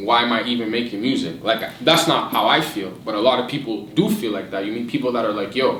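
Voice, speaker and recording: The recording has audible room echo. There is noticeable background noise as well. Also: man. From Haitian background, Ottawa, Canada. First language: French. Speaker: rapper. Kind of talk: casual interview.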